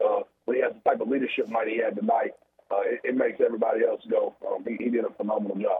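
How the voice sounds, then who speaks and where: A man at a fairly quick pace. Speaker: high school football coach. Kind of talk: post-game coach interview.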